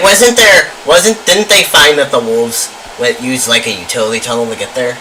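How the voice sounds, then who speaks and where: Over noticeable background noise, a man talks at a fairly quick pace. His fairly high pitch swings very widely. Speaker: student radio talk show host. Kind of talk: casual talk show discussion.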